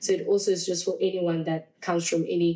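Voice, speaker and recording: Woman with a fairly low pitch, dark and mellow tone, fairly quick pace. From South Africa, Alexandra township (Johannesburg). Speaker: dancer and musician. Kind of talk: interview. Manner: hesitant with fillers and repetitions.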